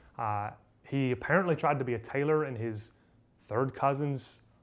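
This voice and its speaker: With ordinary pitch variation, a man's speech moves at a moderate pace. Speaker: history teacher. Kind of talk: lecture. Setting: retreat talk with live audience. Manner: casual, filler-heavy.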